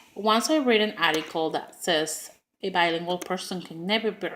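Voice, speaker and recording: In a strong Spanish accent, a woman talks at a moderate pace with a medium pitch. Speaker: preschool teacher. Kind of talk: class speech. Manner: halting, many fillers.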